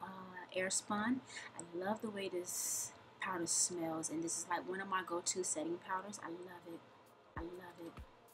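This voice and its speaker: The pace is moderate. Noticeable background noise runs under the speech. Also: woman. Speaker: beauty vlogger. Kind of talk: tutorial. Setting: recorded voiceover. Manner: halting, stumbling over words.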